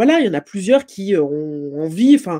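The woman's tone is dark and mellow, and the background is quiet. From Martinique. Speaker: political science lecturer and author; political science lecturer. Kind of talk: interview. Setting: online video event. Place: home room. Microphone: video call.

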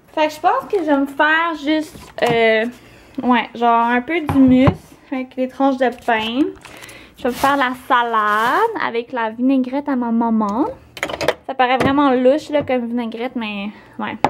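A woman's high-pitched voice with a Quebec accent, a fairly slow pace with long, frequent pauses, ordinary pitch variation, and noticeable background noise. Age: young. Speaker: beauty vlogger. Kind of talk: casual vlog. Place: kitchen. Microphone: phone near.

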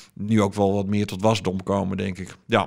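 Against a quiet background, a man talks in a fairly low pitch with monotone, flat intonation. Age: 40s. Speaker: podcast publisher and media consultant; podcast publisher. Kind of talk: interview. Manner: hesitant, many filler sounds. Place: office. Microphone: studio mic.

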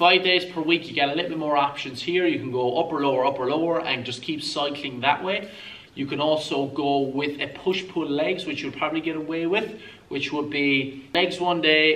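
Fairly even intonation and a moderate pace from a man. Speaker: fitness coach. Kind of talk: tutorial. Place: gym.

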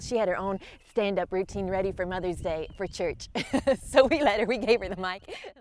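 Upbeat in tone, a woman talks at a fairly quick pace, the sound dry with no echo and light background noise. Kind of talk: casual, encouraging talk to camera. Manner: upbeat, friendly. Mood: warm, cheerful, smiling. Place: open country. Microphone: lapel.

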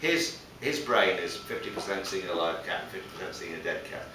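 A man talks at a fairly quick pace over noticeable background noise, with audible room echo. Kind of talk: casual explanatory conversation. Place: studio.

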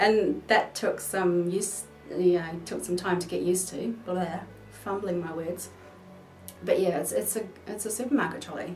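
A woman with a New Zealand accent at a moderate pace, with faint music in the background. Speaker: vlogger. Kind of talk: casual talk to camera. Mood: playful, jokey. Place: home room.

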